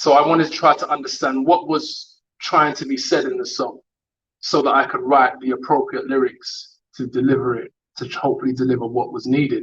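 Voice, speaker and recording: A man with a London accent at a fairly quick pace. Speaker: rapper. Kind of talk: online interview. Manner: hesitant.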